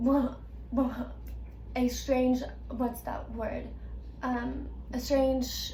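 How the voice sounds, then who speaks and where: With noticeable background noise and audible room echo, a woman speaks at a very slow pace, leaving long, frequent pauses. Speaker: video creator who stutters. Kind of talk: casual chat. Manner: stutter with repetitions; halting.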